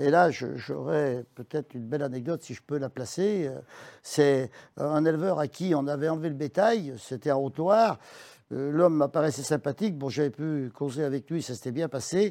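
On a very clean recording with a silent background, a man with a fairly high pitch and a dark, mellow tone speaks at a moderate pace with ordinary pitch variation. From France, Isère. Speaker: livestock dealer and farmer. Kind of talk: interview.

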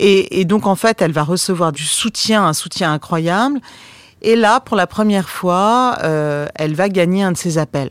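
This woman talks at a medium pitch and a fairly slow pace. Her pitch varies in an ordinary way. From France. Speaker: documentary filmmaker. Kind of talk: interview. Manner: hesitant, many fillers.

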